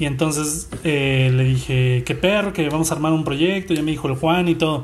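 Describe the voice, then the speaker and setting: In a room with audible echo, a man speaks at a moderate pace, somewhat breathy and fairly high in pitch, his intonation fairly even. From Mexico, Guadalajara. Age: 30s. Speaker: illustrator and marketing communicator. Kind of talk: casual chat.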